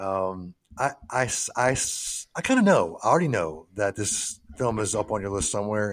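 This man speaks at a fairly low pitch. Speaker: podcast host. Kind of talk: casual chat. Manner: animated, excitable.

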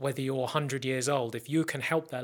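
A man with an English accent speaks at a very fast pace in a medium pitch. His intonation is monotone and flat on a very clean recording with a silent background. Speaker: podcast host. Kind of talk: casual chat. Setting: studio.

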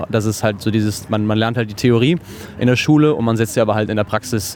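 A man talks very fast while noticeable noise fills the background. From western Germany, near Cologne. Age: 30s. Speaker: chef. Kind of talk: interview. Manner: hesitant with filler words and repetitions.

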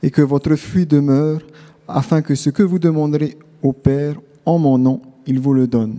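A man talks at a fairly slow pace in a dark, mellow tone. His pitch sits fairly high. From Tahiti. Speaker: theology student. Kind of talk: testimony. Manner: halting.

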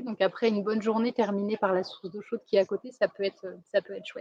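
A woman speaks very fast in a fairly high voice with a dark, mellow tone, her intonation fairly even and the sound dry and close with no echo. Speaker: expat living in a rural community. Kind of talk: casual interview.

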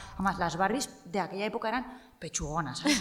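A woman talks at a medium pitch while noticeable background noise sits behind her. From Spain, Cuenca. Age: 30s. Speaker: journalist. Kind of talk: casual interview.

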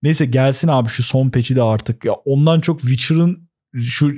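This man has a dark, mellow tone, somewhat breathy, at a medium pitch. He talks at a moderate pace with fairly even intonation. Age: 20s. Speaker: gaming podcast co-host. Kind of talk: casual chat.

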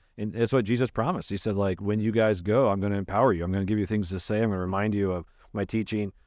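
A man talks at a very fast pace with a fairly low pitch and fairly even intonation. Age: 40s. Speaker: pastor. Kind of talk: casual chat.

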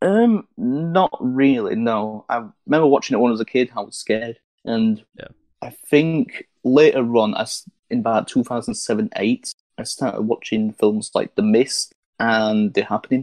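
A man speaks at a medium pitch in an unremarkable speaking voice, with ordinary pitch variation and a dry, close sound with no echo. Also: moderate pace. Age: 20s. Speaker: podcast co-host. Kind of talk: casual chat.

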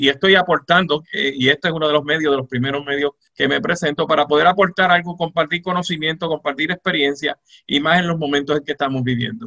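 A man with a Puerto Rican accent at a fairly quick pace. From Puerto Rico, Moca. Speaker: retired judge and law professor. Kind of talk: radio interview. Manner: halting.

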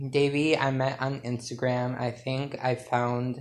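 Speaking at a very slow pace, a man with an American accent keeps a medium pitch and a monotone, flat intonation. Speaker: podcast host. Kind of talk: casual solo podcast monologue. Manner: rambling, chatty, laughs often.

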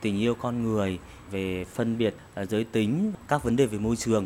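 A man talks at a fairly slow pace. His tone is dark and mellow, with ordinary pitch variation. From Vietnam, Thanh Hóa province. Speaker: writer. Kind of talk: interview. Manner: halting.

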